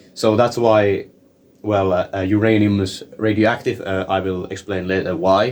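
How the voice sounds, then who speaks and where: A man with a non-native accent speaks at a moderate pace, his fairly low pitch held in a monotone, flat intonation. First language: not English. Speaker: science explainer video maker. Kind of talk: informal tutorial. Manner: halting, many fillers and repetitions.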